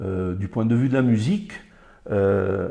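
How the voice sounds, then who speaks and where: A man speaks with a dark, mellow tone at a fairly low pitch. His voice is somewhat breathy, with ordinary pitch variation. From Colombia. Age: 50s. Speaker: Spanish teacher. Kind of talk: interview answer.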